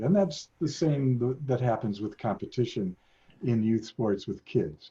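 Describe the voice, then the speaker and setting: A man speaks at a moderate pace in a somewhat breathy, dark and mellow tone, his intonation lively. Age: 70s. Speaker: sociology professor emeritus. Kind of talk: interview. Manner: halting.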